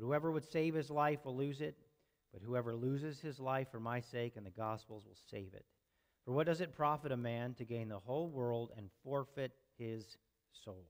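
A man at a moderate pace, with ordinary pitch variation and big swings in loudness, over a quiet background. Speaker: preacher. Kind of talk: sermon. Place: church.

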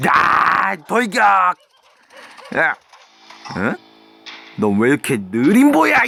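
A cartoonish character voice talks at a middle pitch and a very slow pace. Long, frequent pauses break up the speech. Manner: playful, cheeky, exaggerated.

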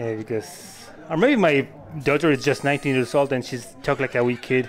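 The clip is plain reading aloud. Its pitch moves in an ordinary way.

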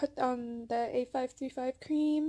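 Soft-spoken, a woman talks at a high pitch. Her tone is dark and mellow. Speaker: booktuber vlogger. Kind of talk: casual vlog chat. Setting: bedroom at parents' home. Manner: soft-spoken, talking quietly; hesitant, many fillers.

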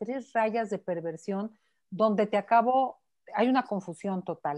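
A woman's pitch varies in an ordinary way while the background stays quiet. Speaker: psychotherapist and author. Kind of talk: interview answer. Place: home room. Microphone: earbuds.

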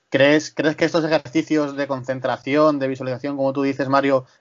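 A man's fairly high voice at a fairly quick pace, with monotone, flat intonation. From Talavera de la Reina, Toledo, Spain. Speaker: sports podcast co-host. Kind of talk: news reading and interview.

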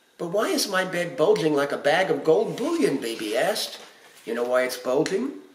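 A man speaks at a moderate pace, with audible room echo around his voice. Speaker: storybook reader. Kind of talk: read-aloud storytelling with character voices. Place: home room. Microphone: phone near.

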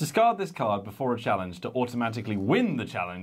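Simple, plain reading aloud

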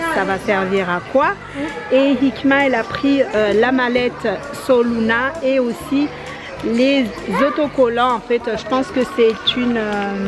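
Over clear music in the background, a woman speaks at a very slow pace in a high pitch with ordinary pitch variation. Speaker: family vlogger. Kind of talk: casual vlog chat. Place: shop. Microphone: phone near.

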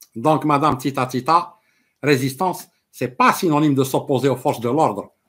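Very fast and fairly high in pitch, a man's speech has fairly even intonation. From Algeria. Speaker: political commentator. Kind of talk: live stream political monologue. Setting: live stream with viewers. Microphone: webcam.

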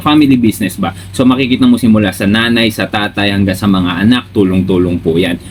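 With music in the background, a man speaks at a fairly quick pace with lively intonation. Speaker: business vlogger. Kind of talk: casual chat.

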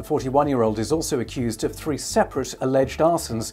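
A man at a moderate pace, his intonation lively, with faint music in the background. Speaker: radio newsreader. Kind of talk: radio news bulletin. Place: studio.

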